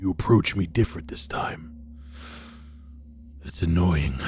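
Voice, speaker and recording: A man does a put-on character voice, with clear background noise behind him. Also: moderate pace. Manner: hushed, menacing.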